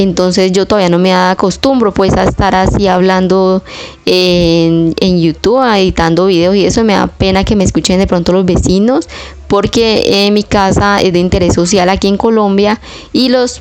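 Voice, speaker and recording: With noticeable background noise behind her, a woman talks at a moderate pace in a medium pitch, her loudness very even throughout. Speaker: home cleaning vlogger. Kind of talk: casual vlog voiceover.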